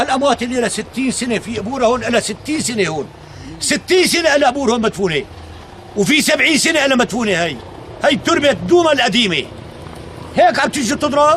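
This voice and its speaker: Over noticeable background noise, a man with a rural Damascus accent talks at a fairly quick pace, his extremely high pitch carried by lively intonation. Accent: Damascene rural Syrian Arabic. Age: 60s. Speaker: elderly villager. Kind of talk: angry tirade. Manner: animated.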